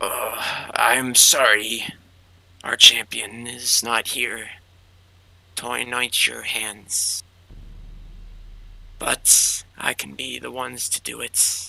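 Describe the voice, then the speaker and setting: A raspy, put-on character voice moves at a very slow pace with long, frequent pauses and big swings in loudness. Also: man, medium pitch for a man. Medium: actual play.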